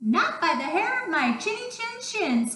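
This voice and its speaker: In a put-on character voice, a woman speaks at a moderate pace with an extremely high pitch, very wide pitch swings and slight echo. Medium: read story.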